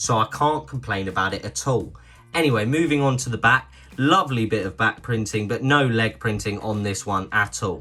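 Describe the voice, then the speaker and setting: A man with a British accent speaks at a moderate pace with lively intonation. His voice sits at a medium pitch and has a bright, sharp tone. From Britain. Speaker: toy review youtuber. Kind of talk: product review. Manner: casual, chatty.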